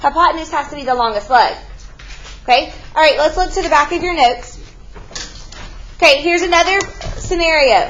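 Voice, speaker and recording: A woman with an extremely high voice and lively intonation speaks at a fairly quick pace but with long, frequent pauses, with noticeable background noise and audible room echo. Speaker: math teacher. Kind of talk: classroom lecture. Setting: classroom.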